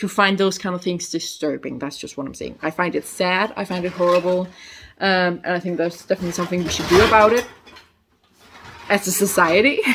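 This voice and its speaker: Quietly and at a fairly quick pace, a woman with a Danish accent speaks in a medium pitch with fairly even intonation. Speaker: youtuber. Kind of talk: casual vlog review. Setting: at her mother's house. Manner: halting.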